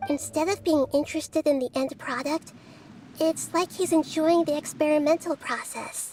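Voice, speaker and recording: A put-on character voice speaks at a high pitch and a moderate pace. Clear music plays in the background. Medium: game stream. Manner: calm, measured.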